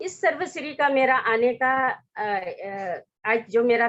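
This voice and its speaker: This woman speaks with a fairly high pitch. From Arunachal Pradesh, Northeast India. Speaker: network marketing distributor and government employee. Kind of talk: success story talk at an online meeting. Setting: online broadcast meeting. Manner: halting, many filler sounds.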